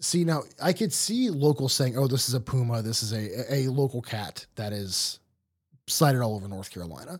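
A man's normal speaking voice at medium pitch and moderate pace, with lively intonation, in a very clean recording with a silent background. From Ohio. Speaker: podcast host. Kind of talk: casual chat.

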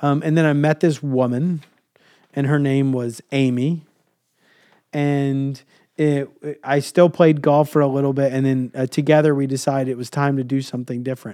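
Against a quiet background, a man with a dark, mellow tone and a fairly high pitch speaks at a moderate pace in a flat, monotone way, leaving long, frequent pauses. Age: 30s. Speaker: podcast host and leadership coach. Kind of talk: casual chat with his kids. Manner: warm, encouraging.

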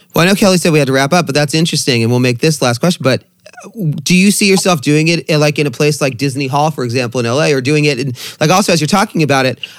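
Over noticeable background noise, a man with an American accent talks very fast, his loudness very even and his pitch varying in an ordinary way. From Long Beach, California. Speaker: podcast interviewer. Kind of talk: casual interview chat, with swearing. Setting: video call.

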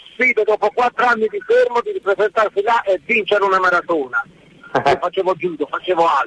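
A high-pitched man talks with ordinary pitch variation. The sound is dry and close with no echo, though noticeable background noise is present. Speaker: radio caller, former competitive athlete. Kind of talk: radio call-in.

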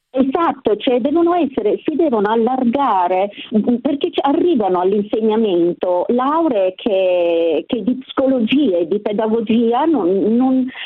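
Against noticeable background noise, a woman with a fairly high pitch speaks fairly slowly, her pitch swinging very widely while her loudness stays very even. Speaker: retired teacher. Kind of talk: radio call-in. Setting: phone call.

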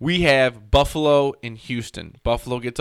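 A man uses a normal speaking voice at a fairly slow pace, pitched fairly high with ordinary pitch variation. The recording is very clean, with a silent background. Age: 20s. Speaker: sports podcast host. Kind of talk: casual chat.

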